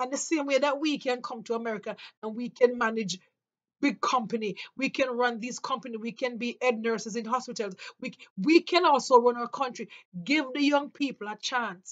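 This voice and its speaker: High-pitched woman with a Jamaican accent at a fairly quick pace, with ordinary pitch variation and big swings in loudness. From Jamaica, rural St Mary. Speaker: vlogger. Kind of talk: opinion monologue. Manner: impassioned.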